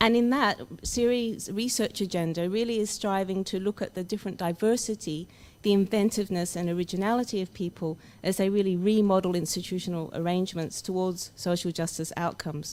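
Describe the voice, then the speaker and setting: Speaking with an Australian accent, the voice moves at a fairly quick pace with ordinary pitch variation. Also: woman, medium pitch for a woman. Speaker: academic researcher. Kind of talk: conference opening speech.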